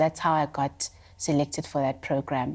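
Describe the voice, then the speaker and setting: A woman speaks with a South African accent in a very deep, low pitch. Her intonation is monotone and flat, and the recording is very clean with a silent background. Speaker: visual artist. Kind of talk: interview conversation.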